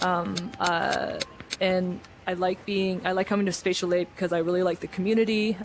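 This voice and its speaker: A woman with a Canadian accent, fairly low in pitch, at a moderate pace, with noticeable background noise. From Canada. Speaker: video games writer. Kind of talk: casual group introduction.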